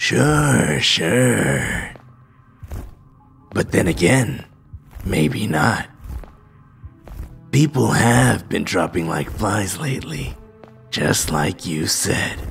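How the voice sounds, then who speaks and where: Faint music plays behind a man doing a put-on character voice that is raspy and very deep and low. He speaks at a very slow pace. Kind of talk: parody comedy acting. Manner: sly, tempting, casual.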